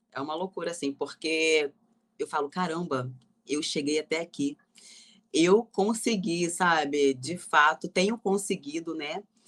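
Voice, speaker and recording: A woman's normal speaking voice, fairly low in pitch, at a fairly slow pace with ordinary pitch variation, in a dry, close sound with no echo. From Rio de Janeiro. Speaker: actress and gospel singer. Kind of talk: interview answer.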